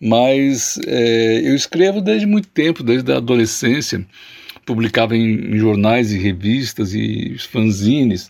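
A man speaks at a medium pitch and a fairly slow pace. His intonation is lively while his loudness stays very even. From southern Brazil, Jaguarão on the Uruguay border. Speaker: poet. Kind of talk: interview. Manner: hesitant, repeats words.

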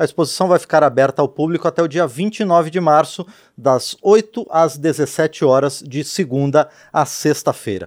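Using a normal speaking voice, a man talks fairly slowly at a fairly high pitch with ordinary variation. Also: very clean recording, silent background. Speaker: radio and TV host. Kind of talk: interview. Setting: studio.

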